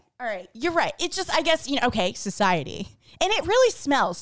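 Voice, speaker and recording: A woman speaks loudly at an extremely high pitch, her pitch swinging very widely. The recording is very clean, with a silent background. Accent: American. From the Bronx, New York. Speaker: podcast co-host. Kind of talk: casual chat.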